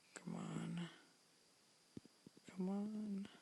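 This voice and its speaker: A man is speaking. He whispers. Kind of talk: casual gaming commentary, pack opening. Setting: home recording at night. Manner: whispered.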